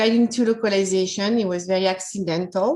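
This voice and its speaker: With a French accent, a woman talks at a moderate pace. Her pitch varies in an ordinary way. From France. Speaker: localization manager. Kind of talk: personal career story talk.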